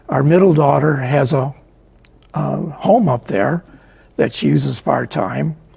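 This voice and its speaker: A man with an American accent speaks at a fairly slow pace, leaving long, frequent pauses. Noticeable background noise runs underneath. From US Midwest, Chicago area. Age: 80s+. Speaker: book author and photographer. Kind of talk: interview. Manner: hesitant, many fillers.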